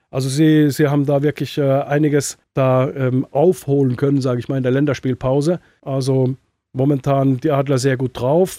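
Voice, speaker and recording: A man's fairly high voice in a dark, mellow tone, fairly even in intonation, with a dry, close sound and no echo. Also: very clean recording, silent background. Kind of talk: sports analysis chat.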